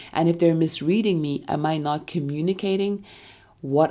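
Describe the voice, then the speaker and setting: In a very clean recording with a silent background, a woman speaks at a moderate pace in a very deep, low pitch, with ordinary pitch variation and a dark, mellow, calm tone. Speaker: podcast host. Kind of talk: solo self-help monologue.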